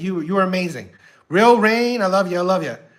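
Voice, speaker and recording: Speaking with an American accent, a high-pitched man uses lively intonation, with audible room echo around him. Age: 60s. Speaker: YouTube reaction streamer. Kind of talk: casual livestream chat. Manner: halting, many fillers and repetitions.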